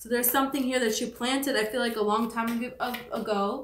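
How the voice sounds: A woman's mumbling put-on character voice, high in pitch, fairly quick and monotone with flat intonation.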